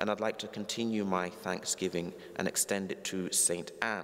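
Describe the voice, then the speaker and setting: Speaking with a London accent, a man with a fairly low pitch keeps his intonation fairly even at a moderate pace. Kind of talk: homily, preacher addressing congregation. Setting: church. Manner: formal, earnest. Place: church. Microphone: lapel.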